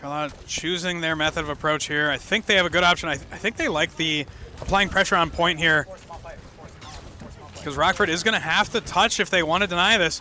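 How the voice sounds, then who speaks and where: Over noticeable background noise, a man speaks at a fairly quick pace. His pitch is high and his intonation fairly even. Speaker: esports caster. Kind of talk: live commentary. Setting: livestream. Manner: loud.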